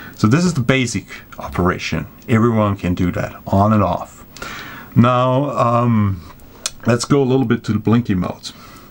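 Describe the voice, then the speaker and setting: A man with a German accent speaks at a moderate pace and a medium pitch. His pitch varies in an ordinary way, and he takes long, frequent pauses. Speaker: flashlight reviewer. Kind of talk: product review. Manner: casual, with hesitations.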